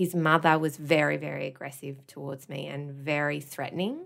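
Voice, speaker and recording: Her bright, sharp voice carries an Australian accent at a moderate pace. The woman is on a very clean recording with a silent background. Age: 30s. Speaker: podcast producer and former teacher. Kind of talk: casual chat.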